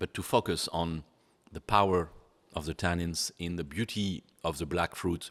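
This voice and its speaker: Spoken with a French accent at a moderate pace. The recording is very clean, with a silent background. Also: man. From France. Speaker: sommelier. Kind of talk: wine tasting interview. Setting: barrel cellar.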